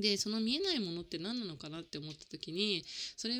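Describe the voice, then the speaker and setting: Her bright, sharp tone makes very wide pitch swings at a fairly quick pace. The recording is very clean, with a silent background. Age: 30s. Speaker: life coach and podcast host. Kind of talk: casual solo podcast monologue. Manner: chatty with many fillers.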